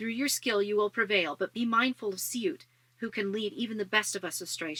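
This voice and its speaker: A woman puts on a growling, strained character voice, fairly high in pitch with ordinary pitch variation, speaking at a fairly quick pace in a dry, close sound with no echo. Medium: read story. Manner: formal, restrained.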